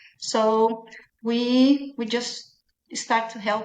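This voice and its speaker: A woman speaks at a very slow pace with a Brazilian Portuguese accent. Her fairly high pitch shows ordinary variation. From Brazil, Minas Gerais. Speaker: small business owner. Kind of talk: podcast interview.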